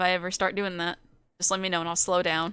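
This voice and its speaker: In an American accent, the speaker talks at a fairly quick pace with a bright, sharp tone and flat, monotone intonation. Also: woman. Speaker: vtuber streamer. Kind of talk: live gameplay stream chat.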